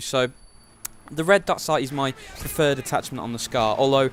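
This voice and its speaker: Over noticeable background noise, a man talks at a fairly quick pace. His pitch is fairly high. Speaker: gaming YouTuber. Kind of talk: gameplay commentary. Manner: fast.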